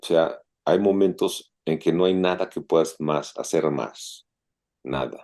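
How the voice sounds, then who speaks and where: A man's very deep, low voice with vocal fry, a dark, mellow tone, ordinary pitch variation and a very slow pace. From Mexico. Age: 60s. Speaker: open-water swimmer and businessman. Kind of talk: casual interview.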